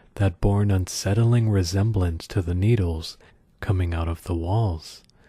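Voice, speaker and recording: A man whispering, soft-spoken and somewhat breathy, in a very clean recording with a silent background. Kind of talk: soft-spoken creepypasta reading for ASMR. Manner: soft-spoken, whispery.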